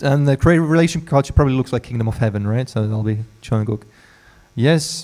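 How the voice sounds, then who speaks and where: The man's voice has a dark, mellow tone and a medium pitch. He speaks at a very fast pace with ordinary pitch variation. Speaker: pastor. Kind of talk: sermon. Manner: halting; soft-spoken.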